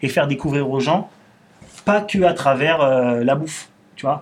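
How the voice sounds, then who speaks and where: With a plain, everyday voice, a man speaks at a fairly high pitch with ordinary pitch variation. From Paris suburbs, Belleville. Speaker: restaurant owner. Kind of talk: casual interview conversation. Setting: studio, filmed podcast.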